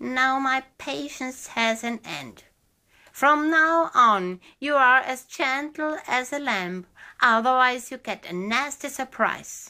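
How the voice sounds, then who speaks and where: In a put-on character voice, a female-sounding speaker growls at a high pitch and a fairly slow pace, on a very clean recording with a silent background. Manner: growling, threatening.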